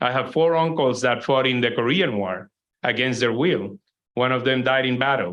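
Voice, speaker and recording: With a Spanish accent, a man of medium pitch talks at a moderate pace with ordinary pitch variation. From Puerto Rico. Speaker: environmental organization president. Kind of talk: keynote lecture.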